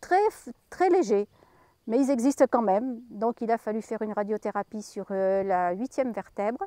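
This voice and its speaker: Her dark, mellow tone sits at a fairly high pitch as a woman speaks at a moderate pace with ordinary pitch variation, in a dry, close sound with no echo. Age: 70s. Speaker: cancer patient. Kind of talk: testimony. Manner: halting.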